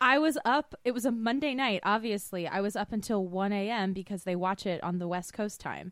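A woman talks at a fairly quick pace with hardly any pauses, in an American accent. Her pitch is medium, with ordinary variation, and she has a plain, everyday voice. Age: 30s. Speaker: podcast co-host. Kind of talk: casual chat.

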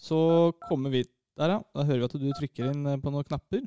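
In a plain, everyday voice, a man speaks at a moderate pace, pitched fairly high with ordinary pitch variation. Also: dry, close sound with no echo. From Norway, Lørenskog (east of Oslo). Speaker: podcast co-host. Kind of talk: casual chat.

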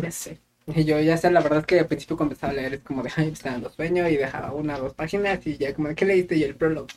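A man with a central Mexican accent talks at a very fast pace. His pitch is fairly high and his intonation fairly even. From Mexico, Querétaro. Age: 20s. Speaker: podcast co-host. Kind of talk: casual chat.

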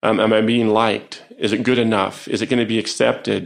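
This man talks at a fairly quick pace with vocal fry. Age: 50s. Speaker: psychologist and professor. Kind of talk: interview conversation. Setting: in an office.

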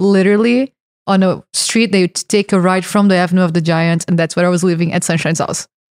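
A woman in a Brazilian accent at a very fast pace, monotone and flat, with a dry, close sound and no echo. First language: Portuguese. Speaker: hash maker. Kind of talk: casual chat.

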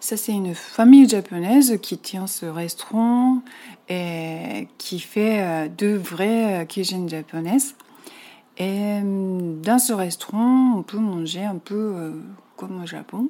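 A woman's medium-pitched voice with a dark, mellow tone and a Japanese accent, very slow, with ordinary pitch variation and big swings in loudness. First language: Japanese (speaking French). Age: 40s. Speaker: Japanese expatriate. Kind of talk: interview. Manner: halting.

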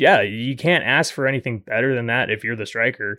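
A man speaks in a plain, everyday voice at a medium pitch with ordinary pitch variation. The recording is very clean and dry, close-miked with no echo and a silent background. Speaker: podcast producer. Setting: studio.

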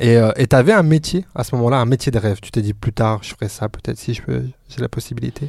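A man talks at a fairly quick pace in a plain, everyday voice of medium pitch with ordinary pitch variation. His loudness swings widely, and the sound is dry and close with no echo. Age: 30s. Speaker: podcast host. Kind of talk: casual chat.

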